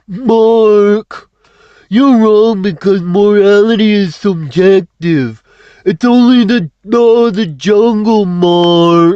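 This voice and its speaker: Putting on a character voice, a man talks very slowly in a high pitch with a smug tone. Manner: mocking, smug.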